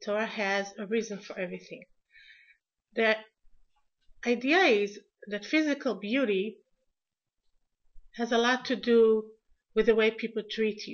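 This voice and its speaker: Speaking at a moderate pace with an Israeli accent, the voice has big swings in loudness and long, frequent pauses. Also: woman. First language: Hebrew. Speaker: lecturer. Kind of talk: lecture. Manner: halting.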